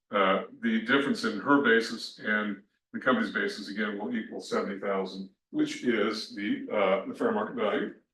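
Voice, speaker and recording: A man mumbles at a moderate pace. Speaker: tax instructor. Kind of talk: recorded lecture. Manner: mumbling; hesitant, many fillers.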